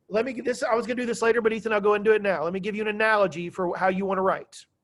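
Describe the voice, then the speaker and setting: Loud and high-pitched, a man talks at a very fast pace. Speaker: high school history teacher. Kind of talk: classroom lecture. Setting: classroom. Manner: animated.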